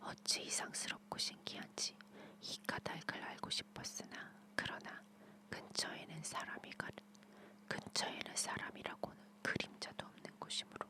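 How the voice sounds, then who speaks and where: Soothing whispering at a fairly slow pace over noticeable background noise. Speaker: ASMR storyteller / channel host. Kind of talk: bedtime story reading, ASMR whispered fairy tale. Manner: whispered, soothing.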